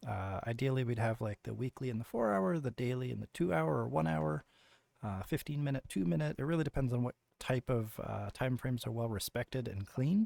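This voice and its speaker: In a dry, close sound with no echo, a man with a dark, mellow tone speaks at a medium pitch and a fairly quick pace, his intonation lively. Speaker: trading educator. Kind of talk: tutorial. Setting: screen recording, no camera. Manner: casual with many fillers.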